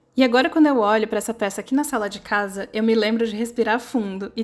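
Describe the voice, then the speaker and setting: A woman talks at a fairly quick pace in a plain, everyday voice. Her fairly high pitch follows fairly even intonation. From Brasília, Brazil. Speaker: amigurumi crochet designer. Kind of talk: personal reflective narration with product promo. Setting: at home.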